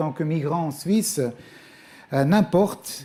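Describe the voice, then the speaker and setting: A man's fairly high voice with a Swiss German accent and a dark, mellow tone. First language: Swiss German (speaking French). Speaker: guest preacher, former missionary. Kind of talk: sermon. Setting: church. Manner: hesitant, many fillers.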